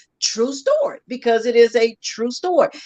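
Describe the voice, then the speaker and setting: Very wide pitch swings run through this woman's speech. Her pitch is high. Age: 40s. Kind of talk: casual talk show chat. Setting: live radio and Facebook broadcast.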